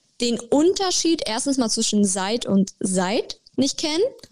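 A woman speaks at a moderate pace. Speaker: podcast co-host. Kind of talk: casual chat.

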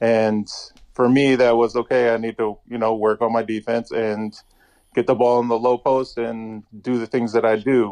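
The sound is dry and close, with no echo. A man speaks fairly slowly at medium pitch in a flat monotone. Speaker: professional basketball player. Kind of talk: interview. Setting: phone call.

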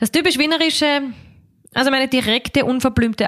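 This woman has a plain, everyday voice with ordinary pitch variation and a fairly quick pace. The recording is very clean and the background silent. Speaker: cabaret artist and musical performer. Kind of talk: interview. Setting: her home in Vienna.

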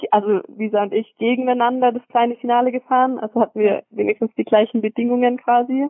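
In a monotone, flat intonation, the woman talks at a moderate pace. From Swabia, Germany (Metzingen). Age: 20s. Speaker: professional track cyclist. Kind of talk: casual interview. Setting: phone call from home.

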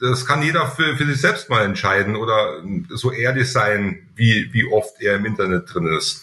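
A man's bright, sharp tone at medium pitch and a fairly slow pace. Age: middle-aged. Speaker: company director. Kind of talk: podcast interview.

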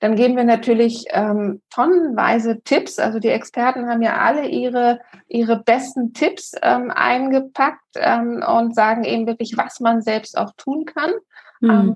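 At a fairly slow pace, a woman with a fairly high pitch and ordinary pitch variation talks in an ordinary speaking voice. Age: 40s. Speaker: health coach, congress organizer. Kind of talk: casual interview chat.

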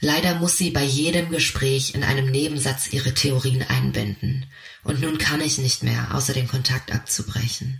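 With a plain, everyday voice, a man at medium pitch speaks at a moderate pace, keeping very even loudness and ordinary pitch variation. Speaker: narrator. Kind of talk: scripted narration.

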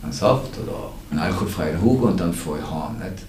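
A man's voice comes through with noticeable background noise and audible room echo. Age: 50s. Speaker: addiction prevention director. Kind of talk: casual chat.

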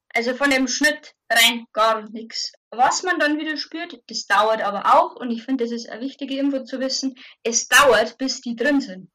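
Raising and projecting her voice, a woman speaks in a high pitch with a bright, sharp tone and big swings in loudness. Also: ordinary pitch variation, moderate pace. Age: 30s. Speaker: mother sharing birth experience. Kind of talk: interview testimony. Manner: halting.

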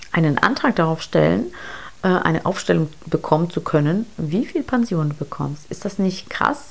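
A woman talks fairly slowly. Her pitch moves up and down across a very wide range. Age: 40s. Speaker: podcast host, investment coach. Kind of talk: solo podcast monologue, explainer. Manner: casual, many filler sounds.

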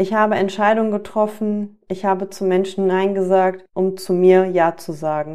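Here a woman talks at medium pitch and a moderate pace. Her tone is dark and mellow. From Germany, Düsseldorf area. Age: 30s. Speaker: life coach and podcast host. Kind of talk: scripted monologue.

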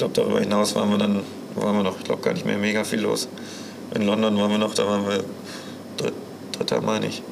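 Speaking at a very fast pace, a man leaves long, frequent pauses. Audible room echo and noticeable background noise surround him. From Münsterland, Germany. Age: 20s. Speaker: show jumping rider and student. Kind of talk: interview.

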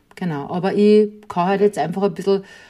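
A dark, mellow tone carries this voice along at a moderate pace. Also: woman. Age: 40s. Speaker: podcast host, guest. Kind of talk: casual interview.

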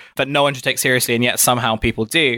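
A man's medium-pitched, bright, sharp voice with ordinary pitch variation, dry and close with no echo. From southeast England, Kent (Dartford). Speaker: journalist and podcast producer. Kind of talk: interview conversation. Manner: hesitant, many fillers.

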